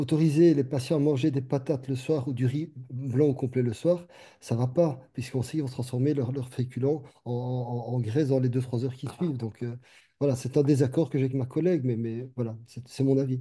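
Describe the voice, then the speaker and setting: A man's somewhat breathy voice, dark and mellow in tone, medium in pitch, with fairly even intonation and a fairly quick pace over a quiet background. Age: 60s. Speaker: doctor. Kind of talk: panel discussion. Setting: webinar video call.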